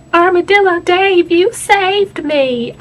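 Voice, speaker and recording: In a put-on character voice, a woman speaks extremely high and squeaky with a Southern US accent. Her pitch varies in an ordinary way at a fairly slow pace. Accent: Southern US country. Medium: solo performance.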